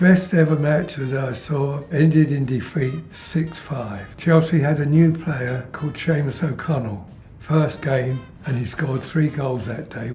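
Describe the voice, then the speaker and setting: Over music in the background and audible room echo, a man speaks fairly slowly in a fairly high pitch with ordinary pitch variation. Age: 80s+. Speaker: lifelong football fan. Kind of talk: interview testimony.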